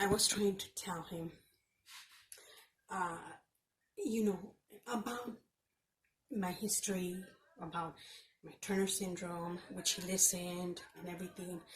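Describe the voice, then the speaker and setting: This voice is somewhat breathy and moves at a fairly slow pace. Long pauses come often. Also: woman, medium pitch for a woman. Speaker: vlogger with chronic illness. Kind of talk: casual vlog rant. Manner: halting, repetitive.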